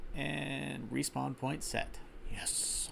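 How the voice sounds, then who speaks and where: There is audible room echo as a man with an American accent talks at a fairly low pitch. His pitch swings very widely. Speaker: gaming streamer. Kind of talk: live gameplay commentary. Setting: live stream. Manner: casual, with fillers and restarts. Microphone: slight echo.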